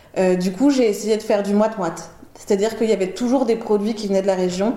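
There is noticeable background noise and audible room echo. A woman speaks at a medium pitch. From Paris, France. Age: 30s. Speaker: chef. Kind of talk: casual chat. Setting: at home. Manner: talkative.

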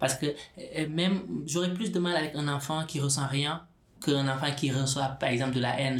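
A man in audible room echo over noticeable background noise. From Senegal. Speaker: specialised social worker. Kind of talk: interview. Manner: halting, many repetitions and fillers.

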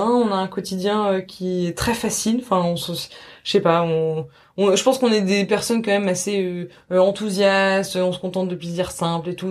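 With a plain, everyday voice, a woman speaks fairly quickly at a medium pitch with ordinary pitch variation on a very clean recording with a silent background. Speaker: journalist. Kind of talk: interview.

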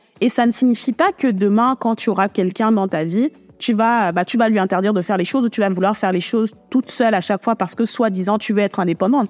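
At a very fast pace with hardly any pauses, a woman talks in a fairly high pitch with ordinary pitch variation and very even loudness, in a dry, close sound with no echo. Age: 20s. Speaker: podcast host. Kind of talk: solo podcast monologue. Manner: casual, intimate address to listener.

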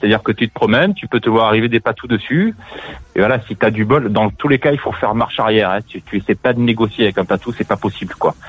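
A man talks very fast, and his pitch varies in an ordinary way. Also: medium pitch for a man. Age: 40s. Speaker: radio show caller. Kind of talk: casual chat. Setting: phone call.

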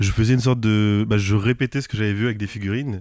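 A man's fairly low-pitched, fairly quick speech in a plain, everyday voice, with fairly even intonation, in a very clean recording with a silent background. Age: 20s. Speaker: manga author and flight attendant. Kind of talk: casual interview. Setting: manga bookshop.

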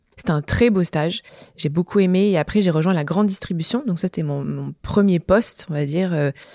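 Dark, mellow tone at a fairly quick pace, dry and close with no echo. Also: woman, fairly low pitch for a woman, ordinary pitch variation. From southern France, Montpellier. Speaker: entrepreneur, start-up co-founder. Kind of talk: interview.

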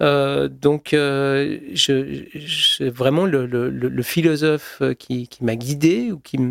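A man's fairly high voice comes across dry and close with no echo, with ordinary pitch variation. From Switzerland (Geneva). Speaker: YouTube creator and filmmaker. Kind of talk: interview conversation. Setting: home studio. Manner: halting, frequent repetitions.

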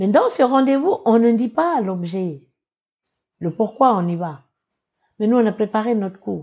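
A woman speaks at a fairly slow pace in a fairly high, somewhat breathy voice with lively intonation and long, frequent pauses. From New Caledonia, Kanak tribe in the north. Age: 60s. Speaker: association president and political aide. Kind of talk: interview. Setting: studio.

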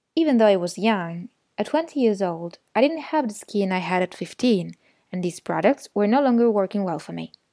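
A woman with an Italian accent speaks at a moderate pace in a medium pitch, with a dark, mellow tone, lively intonation and a dry, close sound with no echo. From Italy. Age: 20s. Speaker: podcast guest sharing personal story. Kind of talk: scripted narration.

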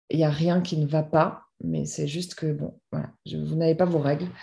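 A woman speaks with a dark, mellow tone. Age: 30s. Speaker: author. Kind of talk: personal testimony. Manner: halting, many repetitions and fillers.

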